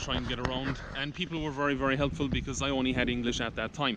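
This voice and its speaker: Against noticeable background noise, a man talks at a medium pitch with fairly even intonation. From Ireland and the Netherlands. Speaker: vlogger. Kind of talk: casual vlog talk to camera.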